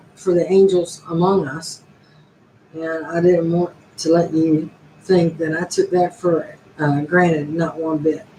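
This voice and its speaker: A fairly low-pitched woman's voice, monotone and flat in intonation, over noticeable background noise. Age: 60s. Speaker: YouTuber. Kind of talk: casual live stream monologue.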